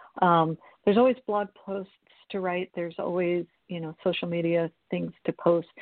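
A woman with an American accent has an unremarkable speaking voice, fairly low in pitch, with fairly even intonation, a moderate pace and big swings in loudness. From Florida. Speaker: crime novelist, retired police captain. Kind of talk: casual interview. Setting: radio studio.

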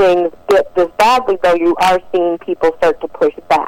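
A woman with an American accent at a medium pitch and moderate pace, dry and close with no echo, with noticeable background noise. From Detroit, Michigan, US. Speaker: First Amendment attorney. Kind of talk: radio interview.

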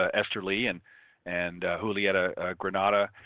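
A man's voice, fairly low in pitch. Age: 50s. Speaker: golf radio show host. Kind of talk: live radio interview.

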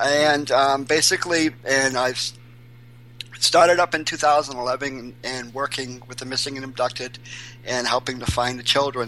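Noticeable background noise sits behind a man speaking fairly slowly. His medium-pitched voice stays fairly even in intonation but swings widely in loudness. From Maine, Portland. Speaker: missing persons volunteer. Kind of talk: interview.

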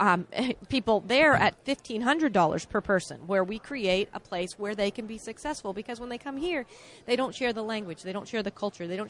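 Fairly high in pitch, a woman with an unremarkable speaking voice talks at a fairly quick pace with lively intonation. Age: 40s. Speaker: political candidate. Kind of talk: interview.

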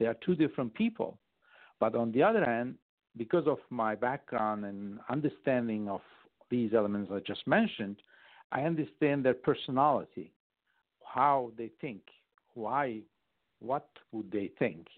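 In a Turkish accent, a man speaks at a moderate pace and medium pitch, with long, frequent pauses. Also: ordinary pitch variation. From Turkey. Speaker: foreign policy adviser. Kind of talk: radio interview.

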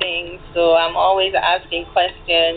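A woman speaks over noticeable background noise. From Saint Lucia. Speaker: novelist. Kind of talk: interview.

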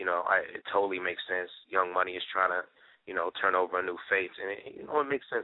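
A man talks at a very fast pace with an American accent. His loudness takes big swings. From Minneapolis-St. Paul, Minnesota. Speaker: rapper. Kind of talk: interview.

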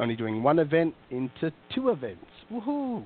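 The man speaks with an Australian accent. His pace is fairly slow. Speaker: recruiter. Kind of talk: casual interview chat. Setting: phone call.

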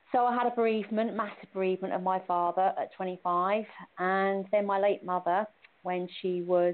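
This woman's intonation is fairly even. She talks at a moderate pace with a medium pitch. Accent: British. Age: 50s. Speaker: cancer survivor, former hairdresser. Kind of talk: personal testimony. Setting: phone call.

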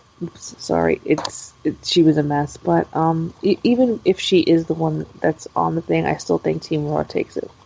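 A woman talks at a moderate pace with hardly any pauses. Noticeable background noise sits behind her. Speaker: wrestling podcast co-host. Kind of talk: casual chat.

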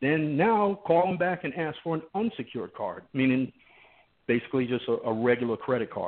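Delivered at a fairly quick pace with lively intonation, this is an ordinary speaking voice. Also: man, fairly high pitch for a man. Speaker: underwriter and risk manager. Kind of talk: informative talk on finance, radio guest.

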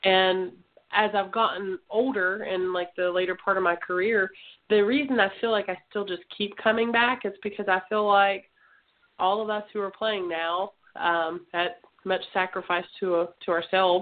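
A woman's medium-pitched voice, a normal speaking voice, at a moderate pace with fairly even intonation. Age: 30s. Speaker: women's tackle football player. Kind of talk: casual interview. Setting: internet radio show.

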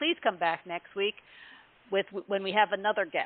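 A woman talks at a fairly quick pace in a normal speaking voice. Her pitch sits in the medium range. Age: around 60. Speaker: podcast host. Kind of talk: casual interview.

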